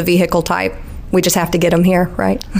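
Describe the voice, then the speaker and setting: Speaking very fast in a fairly low pitch, a woman with a Southern US accent keeps a monotone, flat intonation over noticeable background noise. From Alabama. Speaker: electrical engineer at a utility. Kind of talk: interview.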